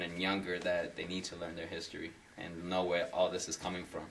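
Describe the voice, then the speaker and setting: A man speaks fairly quickly, with audible room echo around him. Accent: American. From Massachusetts (Lawrence, near Boston). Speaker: salsa dancer. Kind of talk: interview.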